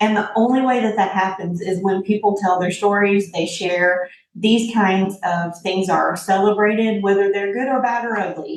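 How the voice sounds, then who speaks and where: A woman speaks in a Southern US accent with fairly even intonation. She barely pauses at all. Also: medium pitch for a woman, moderate pace. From Tennessee, US South (from Indianapolis until high school). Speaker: tech entrepreneur. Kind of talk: interview conversation.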